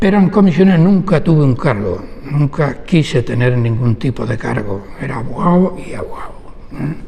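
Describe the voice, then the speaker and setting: Noticeable background noise sits under a man speaking at a moderate pace. His fairly high pitch moves in very wide swings. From Huelva, Andalusia, Spain. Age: 70s. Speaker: labour lawyer. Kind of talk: oral history interview.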